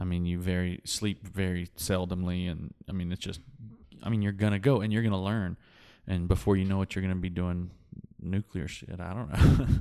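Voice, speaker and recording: The speaker has a West Texas accent and a dark, mellow tone with fairly even intonation. The recording is very clean, with a silent background. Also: man, very deep, low pitch for a man. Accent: West Texas drawl. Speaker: oilfield worker and instrumentation technician. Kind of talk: casual chat.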